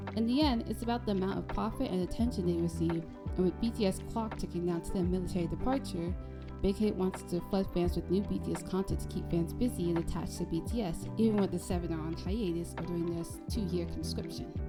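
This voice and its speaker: A woman talks at a very fast pace. Music plays behind her. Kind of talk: video essay narration. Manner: soft-spoken.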